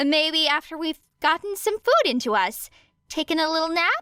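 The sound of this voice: A woman performs a put-on character voice, high-pitched with big swings in pitch and a bright, sharp tone. She talks at a moderate pace, and the sound is dry and close with no echo.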